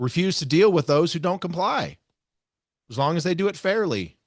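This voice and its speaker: The background is quiet and the man's voice is dry and close with no echo. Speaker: podcast host. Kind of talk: solo podcast commentary reading from a lawsuit. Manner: sarcastic, heavy inflection.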